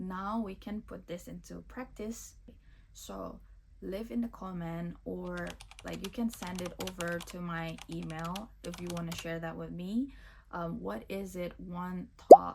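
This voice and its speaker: A woman's fairly slow speech with a non-native accent and big swings in loudness. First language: not English. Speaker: self-help video creator. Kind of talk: motivational talk. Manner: casual.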